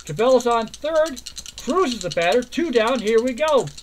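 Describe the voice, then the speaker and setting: Against noticeable background noise, a man with an extremely high pitch speaks at a moderate pace with lively intonation. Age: 60s. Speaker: tabletop baseball game player and commentator. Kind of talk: casual chat; mock play-by-play commentary. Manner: animated.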